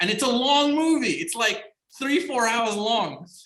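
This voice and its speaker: A man talks in an animated tone. Noticeable background noise runs behind him. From Iran, then schooled in England. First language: Persian. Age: 40s. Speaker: writer and actor. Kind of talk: interview. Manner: animated, many fillers.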